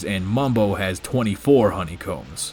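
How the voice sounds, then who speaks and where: Against noticeable background noise, a man with a fairly low voice speaks at a moderate pace with ordinary pitch variation. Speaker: gaming video creator. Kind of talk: scripted commentary. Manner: soft-spoken, talking quietly.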